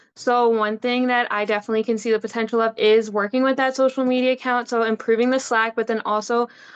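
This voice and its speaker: A woman talks at a very fast pace with hardly any pauses, at fairly high pitch and very even loudness, in a monotone, flat intonation. The sound is dry and close with no echo, against a quiet background. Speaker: student candidate. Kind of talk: candidate speech.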